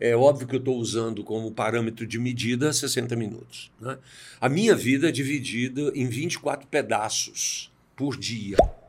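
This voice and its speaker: A man at a fairly slow pace, with a normal speaking voice, medium pitch and fairly even intonation. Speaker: executive coach and speaker. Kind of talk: interview.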